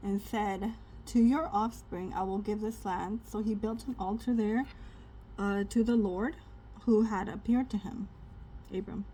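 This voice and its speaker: Somewhat breathy and dark, mellow in tone, a woman speaks at a medium pitch and a moderate pace with fairly even intonation. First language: not English. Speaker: spiritual content creator. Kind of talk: casual Bible reading with commentary. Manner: conversational, hesitant with fillers.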